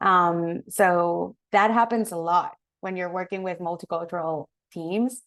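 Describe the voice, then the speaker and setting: A woman with a Spanish accent speaks fairly low and at a fairly slow pace. Her intonation is fairly even, her loudness swings widely, and the background is quiet. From Mexico. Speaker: marketing professional. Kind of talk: guest lecture.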